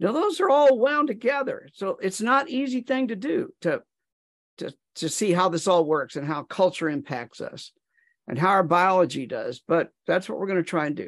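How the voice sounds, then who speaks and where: A high-pitched man speaks at a moderate pace with very wide pitch swings, in a dry, close sound with no echo and a quiet background. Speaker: psychologist and author. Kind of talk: interview discussion. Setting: online video call.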